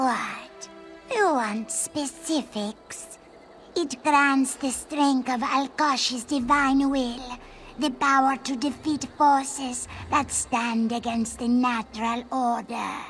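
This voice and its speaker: A woman does a put-on character voice, high-pitched and very slow, with fairly even intonation. Clear music plays in the background. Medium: video game. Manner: formal, refers to self in third person.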